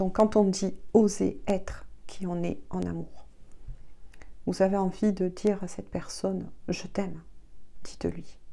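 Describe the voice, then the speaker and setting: A soft-spoken woman talks at a very slow pace, with long, frequent pauses. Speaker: tarot reader. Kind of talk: tarot reading guidance. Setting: video at home.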